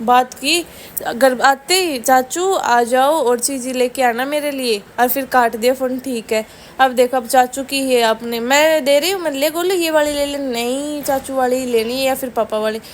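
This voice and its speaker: A woman speaks with a Rajasthani accent at a high pitch. Her pitch varies in an ordinary way, and she leaves hardly any pauses. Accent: Rajasthani-tinged Hindi. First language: Rajasthani (Marwari/Shekhawati) (speaking Hindi). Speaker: family vlogger. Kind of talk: casual vlog narration.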